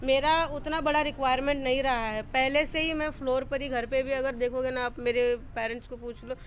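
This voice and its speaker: Her pitch is high. The woman talks at a moderate pace. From Tamil Nadu, India. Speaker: solo traveller. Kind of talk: interview. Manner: halting.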